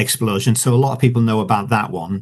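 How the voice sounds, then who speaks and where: A man with a medium pitch talks at a fairly quick pace, and his voice is somewhat breathy. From Yorkshire, northern England. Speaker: author. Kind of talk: interview. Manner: halting, many fillers.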